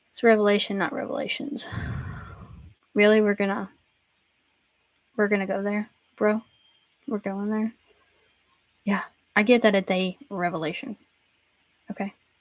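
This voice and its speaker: A woman with a Southern accent at medium pitch, a moderate pace with long, frequent pauses, ordinary pitch variation, and a dry, close sound with no echo. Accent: Southern, self-described pronunciation issues. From US South, Tennessee. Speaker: Bible teacher. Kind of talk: casual chat. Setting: livestream. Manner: many filler words.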